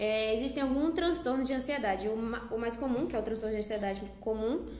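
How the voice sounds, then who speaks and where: A woman speaks with a fairly high pitch and ordinary pitch variation. Audible room echo surrounds her voice. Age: 20s. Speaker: psychology student. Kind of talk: casual chat.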